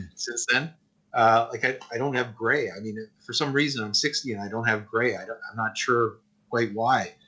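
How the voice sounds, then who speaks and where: A man talks at a moderate pace. He has an unremarkable speaking voice. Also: medium pitch for a man, fairly even intonation. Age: 60s. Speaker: animator and animation teacher. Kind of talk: interview.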